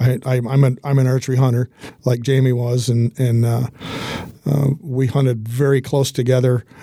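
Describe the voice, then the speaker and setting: A man of medium pitch talks at a moderate pace with monotone, flat intonation, and noticeable background noise can be heard. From Michigan, Hillsdale. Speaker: business owner and sponsor. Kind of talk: casual interview. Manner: halting, repeats words.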